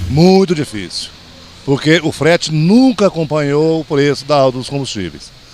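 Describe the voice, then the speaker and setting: Noticeable background noise sits behind the voice. The speaker talks at a moderate pace. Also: man. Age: 60s. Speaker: truck driver. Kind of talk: street interview.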